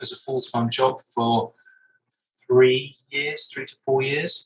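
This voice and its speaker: Very slowly, a man talks with a southern English accent. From southern England, Brighton. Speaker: breathwork coach. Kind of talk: interview.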